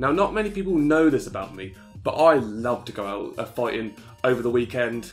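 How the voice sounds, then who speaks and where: Music plays in the background as a man talks at a fairly quick pace and a medium pitch. His pitch swings very widely, and his loudness rises and falls in big swings. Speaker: gaming YouTuber. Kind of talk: comedic video game review narration.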